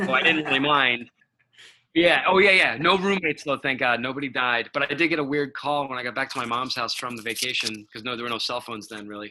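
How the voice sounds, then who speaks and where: A man talks at a very fast pace in a Rhode Island accent. His pitch varies in an ordinary way, and his loudness swings widely. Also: medium pitch for a man. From Providence, Rhode Island. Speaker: rock musician. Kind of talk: podcast interview answer.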